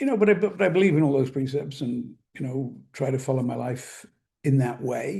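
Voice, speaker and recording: In an American accent, a man speaks at a moderate pace with lively intonation. His tone is dark and mellow, and somewhat breathy. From England (London), later New Jersey. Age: 70s. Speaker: magazine publisher. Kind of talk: interview conversation.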